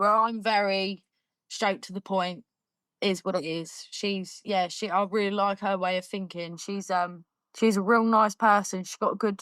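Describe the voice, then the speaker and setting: Recorded very cleanly against a silent background, a woman with a southern English accent speaks at a moderate pace in a medium pitch with monotone, flat intonation. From Surrey, England. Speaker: fibrous plasterer. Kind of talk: casual chat. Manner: loud.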